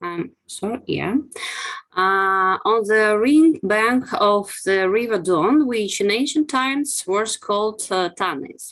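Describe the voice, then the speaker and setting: Someone with a Russian accent speaks at a very slow pace. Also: woman, fairly high pitch for a woman, lively intonation. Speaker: archaeologist. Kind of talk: academic webinar presentation. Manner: halting, many fillers.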